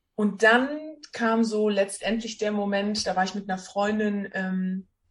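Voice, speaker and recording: A woman's medium-pitched, somewhat breathy voice at a very slow pace. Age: 20s. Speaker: social worker with lupus. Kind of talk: interview.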